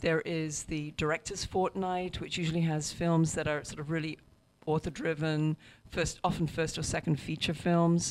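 A woman's fairly low voice, flat and monotone, at a moderate pace. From England, Hereford (Welsh borderlands). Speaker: film festival programmer. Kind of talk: interview.

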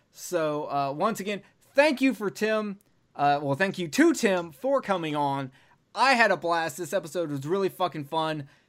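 Lively intonation runs through this voice with an American accent. It moves at a moderate pace. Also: man, high pitch for a man. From US South. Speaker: podcast host. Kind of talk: casual chat.

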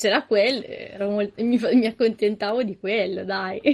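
A woman with a fairly high pitch. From Milan area, northern Italy. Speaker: podcast guest. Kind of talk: casual chat.

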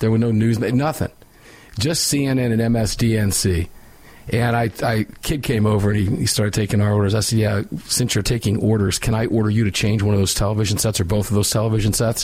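A man's fairly low, somewhat breathy voice with very even loudness and fairly even intonation. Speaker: radio host. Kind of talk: live talk radio show, opinionated. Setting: studio.

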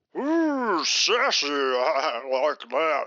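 A man with a Southern US accent. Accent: Southern American drawl. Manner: boastful, leering, bossy.

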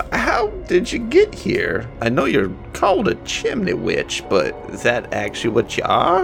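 A man performs in a put-on character voice with hardly any pauses. Clear music plays in the background. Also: moderate pace. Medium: actual play.

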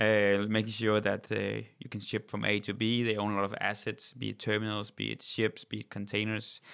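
Monotone and flat, a man talks at a moderate pace with hardly any pauses. The recording is very clean, with a silent background. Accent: Danish. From Denmark. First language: Danish. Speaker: company CEO. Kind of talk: interview.

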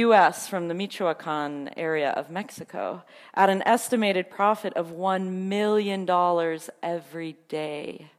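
At a fairly slow pace, a woman speaks with an unremarkable speaking voice and ordinary pitch variation on a very clean recording with a silent background. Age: 30s. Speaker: preacher. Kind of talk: sermon.

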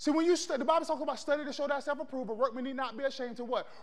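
In an American accent, a man speaks at a very fast pace and an extremely high pitch, with an animated tone and ordinary pitch variation. The background is quiet. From Florida, US South. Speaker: preacher. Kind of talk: sermon, preacher in full flow. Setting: church with live congregation. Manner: animated, call-and-response, rallying the congregation; conversational, punchy, building to triumphant declarations.

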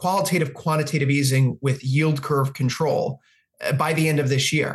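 The intonation stays fairly even. The voice is somewhat breathy. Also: man. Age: 30s. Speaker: futures and forex analyst. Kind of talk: interview.

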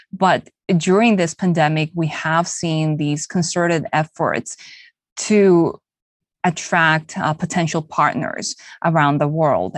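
Speech comes at a very slow pace with ordinary pitch variation, dry and close with no echo, over a quiet background. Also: woman, fairly low pitch for a woman. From Bolivia (Santa Cruz), Korean parents. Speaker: TV news anchor and podcast co-host. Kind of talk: conversational interview.

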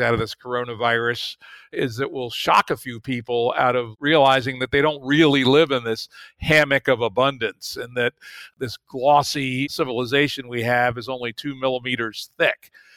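In a very clean recording with a silent background, a man talks in a normal speaking voice at medium pitch with fairly even intonation, the sound dry and close with no echo. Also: moderate pace. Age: 60s. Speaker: podcast host. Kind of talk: interview, casual conversation.

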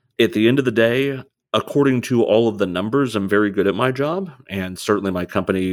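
In a very clean recording with a silent background, a man uses a normal speaking voice at medium pitch, with lively intonation and a moderate pace. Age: 30s. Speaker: oil and gas sales executive. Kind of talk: casual interview.

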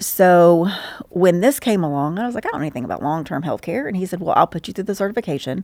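In a Southern US accent, a woman talks very fast with lively intonation at a medium pitch. The recording is very clean, with a silent background. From Georgia, US South (Stockbridge). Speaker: insurance paraplanner. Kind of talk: interview.

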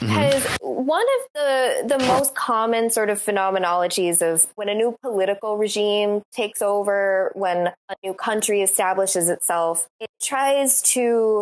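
A woman has a normal speaking voice with ordinary pitch variation and a fairly slow pace. The sound is dry and close, with no echo. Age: 20s. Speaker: academic co-host. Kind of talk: casual chat.

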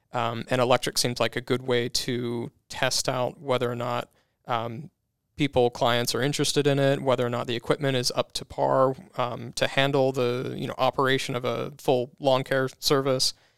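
A man's medium-pitched voice with vocal fry, monotone, flat intonation and a moderate pace, in a very clean recording with a silent background. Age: 30s. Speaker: lawn care business owner. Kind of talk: interview.

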